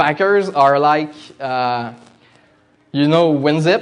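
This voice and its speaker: A man with a Quebec accent talks at a very slow pace in a fairly high voice. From Quebec, Canada. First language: French. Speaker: demoscene coder and designer giving a talk. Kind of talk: conference presentation. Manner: halting, many fillers.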